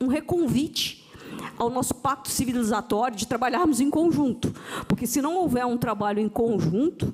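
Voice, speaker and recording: A woman talks with lively intonation. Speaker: panel moderator, tax official. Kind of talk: panel discussion moderation. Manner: halting, with false starts.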